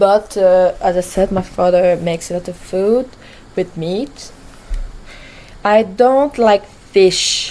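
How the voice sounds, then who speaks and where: In a French accent, a woman at a medium pitch speaks very slowly with ordinary pitch variation and long, frequent pauses, over noticeable background noise. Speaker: gaming vlogger. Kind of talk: casual chat. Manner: halting.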